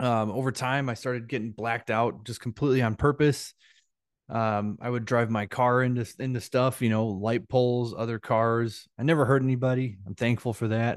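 Against a quiet background, a man talks at a moderate pace in a medium-pitched voice with fairly even intonation. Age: 30s. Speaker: sobriety coach. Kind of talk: group coaching call. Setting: group call. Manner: hesitant, many fillers and repetitions.

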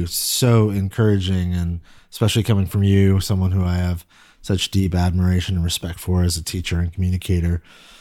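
A man's very deep, low voice with a dark, mellow tone and a Californian accent, fairly even in intonation and fairly quick in pace, on a very clean recording with a silent background. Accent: General American, California. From US West Coast, Silicon Valley. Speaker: pastor. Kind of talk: interview conversation. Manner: halting, frequent repetitions.

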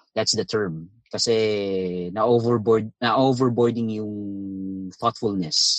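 This man speaks at a very slow pace with hardly any pauses, in a Filipino accent. His pitch is fairly low and his intonation fairly even. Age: 30s. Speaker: caller. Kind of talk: phone-in conversation in Taglish. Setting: phone call.

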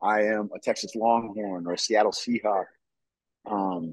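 A man speaks in a normal speaking voice at a fairly low pitch. His pace is moderate and his pitch variation ordinary. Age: 30s. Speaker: military veteran, former football player, filmmaker. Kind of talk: casual interview.

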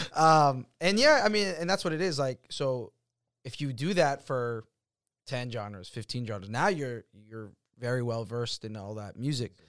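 Big swings in loudness mark this man's lively, medium-pitched speech at a moderate pace, recorded very cleanly over a silent background. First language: not English. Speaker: podcast host about DJ culture and nightlife. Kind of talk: casual chat. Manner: many fillers like um and like.

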